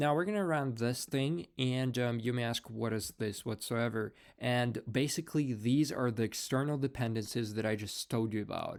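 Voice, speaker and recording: In a very clean recording with a silent background, a man with a non-native accent speaks at a medium pitch and a moderate pace, with ordinary pitch variation. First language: not English. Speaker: programming tutorial creator. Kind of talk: screen-recorded coding tutorial. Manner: many fillers and repetitions; casual, conversational.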